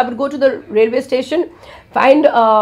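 A woman speaks at a high pitch. Her pace is fairly quick. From India. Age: 70s. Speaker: world traveller. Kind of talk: interview answer. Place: studio.

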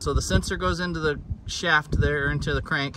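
Loud background noise is present. The sound itself is dry, with no echo. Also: man. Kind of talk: casual vlog chat. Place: open country. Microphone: phone near.

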